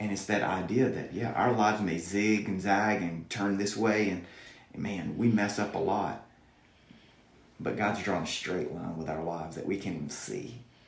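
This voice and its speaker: In a Southern US accent, the speaker talks at a moderate pace with ordinary pitch variation, and audible room echo is present. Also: man, fairly low pitch for a man. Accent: southern American. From US South. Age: 40s. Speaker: youth pastor. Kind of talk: podcast interview.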